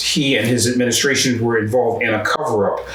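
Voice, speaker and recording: A man with an American accent talks with fairly even intonation, with noticeable background noise and audible room echo. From US Northeast, North Philadelphia. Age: 70s. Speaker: human rights activist. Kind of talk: interview testimony. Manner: halting, with many fillers.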